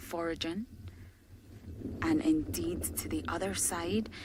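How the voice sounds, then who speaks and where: A woman speaks over noticeable background noise. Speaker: safari guide. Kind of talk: live commentary. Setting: outdoors.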